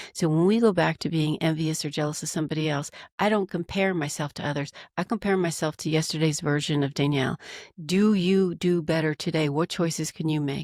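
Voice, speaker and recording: The recording has a dry, close sound with no echo, and a woman with a very deep, low voice talks at a fairly quick pace with fairly even intonation. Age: 60s. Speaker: executive coach and author. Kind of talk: podcast interview. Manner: halting, with repeated words.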